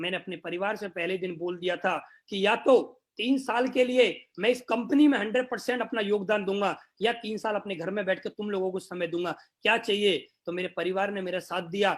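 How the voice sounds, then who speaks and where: A man's high voice at a moderate pace with ordinary pitch variation, in a very clean recording with a silent background. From northern India, Greater Noida. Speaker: network marketing leader. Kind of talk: motivational talk.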